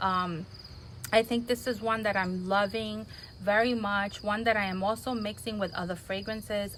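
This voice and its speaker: A soft-spoken woman is talking. She keeps a moderate pace with ordinary pitch variation. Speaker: fragrance reviewer. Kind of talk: product review vlog.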